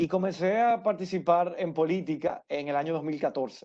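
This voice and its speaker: A man's voice with a dark, mellow tone. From Dominican Republic, Santo Domingo. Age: 30s. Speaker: political candidate. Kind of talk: interview. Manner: halting.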